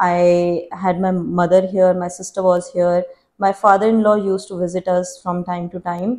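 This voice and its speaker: A woman with an Indian accent speaks at a moderate pace and medium pitch. Her intonation is monotone and flat, her tone dark and mellow. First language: Hindi. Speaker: YouTuber. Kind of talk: Q&A vlog.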